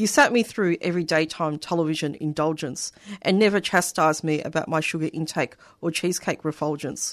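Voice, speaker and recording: Against a quiet background, a woman with an Australian accent speaks at a fairly quick pace with ordinary pitch variation. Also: fairly low pitch for a woman. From Australia (Melbourne), migrant family. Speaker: poet. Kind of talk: poetry reading. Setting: radio studio.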